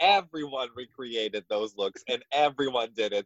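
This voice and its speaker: A man with a Russian accent talks at a moderate pace and a medium pitch. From Russia (Moscow). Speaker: drag queen. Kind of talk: casual chat.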